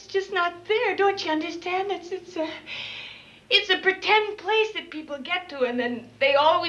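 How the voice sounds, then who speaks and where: A woman speaks in a raised, projected voice at a moderate pace with lively intonation. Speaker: film actress in character. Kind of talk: emotional film dialogue. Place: bathroom.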